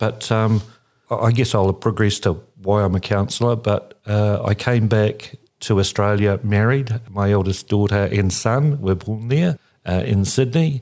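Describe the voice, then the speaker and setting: Over a quiet background, a man with a fairly low pitch talks at a moderate pace, his loudness very even and his pitch varying in an ordinary way. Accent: New Zealand. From New Zealand, Christchurch. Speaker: regional councillor. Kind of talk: interview.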